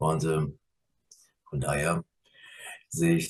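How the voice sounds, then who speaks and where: His pitch swings very widely, and his voice is somewhat breathy. The man keeps a moderate pace. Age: 50s. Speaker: nurse manager and graduate. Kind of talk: interview.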